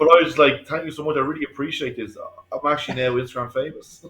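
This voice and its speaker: An Irish accent with ordinary pitch variation. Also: man. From Ireland. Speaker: painter and decorator. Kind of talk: casual chat. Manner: fast.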